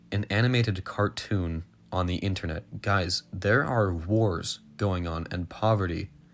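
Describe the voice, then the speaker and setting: Over a silent background in a very clean recording, a man speaks very slowly with a fairly low pitch and ordinary pitch variation. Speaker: indie animation studio channel owner. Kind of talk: unscripted statement to camera. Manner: stuttering, hesitant.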